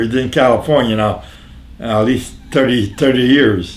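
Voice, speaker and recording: With an American accent, a man talks at a medium pitch and a fairly slow pace, amid audible room echo and noticeable background noise. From northeastern Pennsylvania, Jessup. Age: 90s. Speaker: elderly local resident interviewed on town history. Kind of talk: casual interview. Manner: halting, repeats words.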